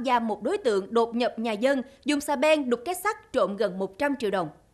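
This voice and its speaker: The background is quiet. A woman speaks at a fairly quick pace with very wide pitch swings. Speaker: news anchor. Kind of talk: news reading. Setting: studio. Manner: formal. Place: studio.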